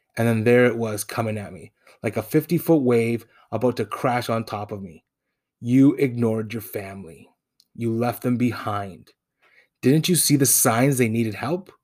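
The speaker keeps a moderate pace with ordinary pitch variation and big swings in loudness. The recording is very clean, with a silent background. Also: man, medium pitch for a man. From Toronto, Canada. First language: Spanish. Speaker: podcast host. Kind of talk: personal storytelling monologue.

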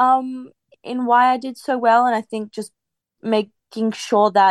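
With an Australian accent, a woman talks at a moderate pace. The sound is dry and close with no echo. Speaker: professional tennis player. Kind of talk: interview.

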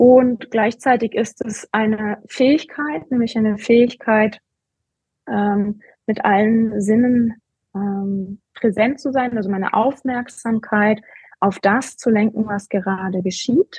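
Very slowly and somewhat breathily, a woman with a fairly high pitch speaks with fairly even intonation. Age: 40s. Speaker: coach and competitive runner. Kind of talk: interview. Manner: halting, many fillers.

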